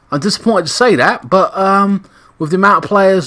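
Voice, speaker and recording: A man with an English accent talks at a fairly quick pace, his high voice bright and sharp in tone. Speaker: gaming YouTuber commentating football sim. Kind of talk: casual gaming commentary. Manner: casual with many fillers.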